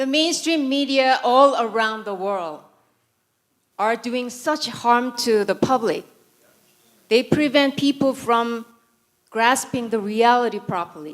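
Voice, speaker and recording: A woman with a Korean accent speaks in a high voice at a very slow pace. Her intonation is lively, broken by long, frequent pauses. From South Korea. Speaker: conference speaker, former broadcast announcer, writer. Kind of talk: conference speech.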